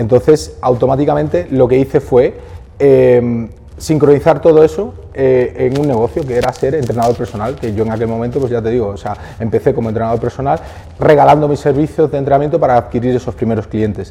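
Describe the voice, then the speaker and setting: A man's medium-pitched, unremarkable speaking voice, fairly quick in pace, with lively intonation. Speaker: fitness entrepreneur. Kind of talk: interview.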